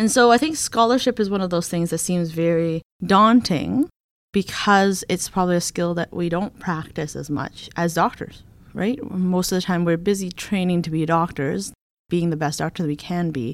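With a Canadian accent, a woman speaks in a normal speaking voice, fairly low in pitch, at a moderate pace with ordinary pitch variation. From Canada, Hamilton, Ontario. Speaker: emergency medicine professor. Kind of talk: interview. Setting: conference.

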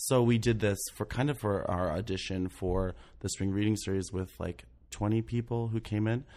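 Fairly low in pitch, this man's voice has a dark, mellow tone and fairly even intonation. He speaks with an American accent. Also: moderate pace. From US South, southern Maryland. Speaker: theatre director and producer. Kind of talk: casual interview. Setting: studio.

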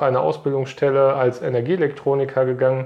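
At a moderate pace, a man speaks in an unremarkable speaking voice at medium pitch. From Westphalia, Germany (near Paderborn). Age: 30s. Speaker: local councillor and electrical engineer. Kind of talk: interview.

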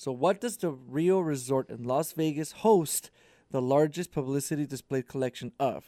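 A man speaks at a moderate pace in a fairly high pitch, with ordinary pitch variation and a dark, mellow tone, recorded dry and close with no echo. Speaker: radio show producer. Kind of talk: casual radio banter and trivia quiz. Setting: radio studio.

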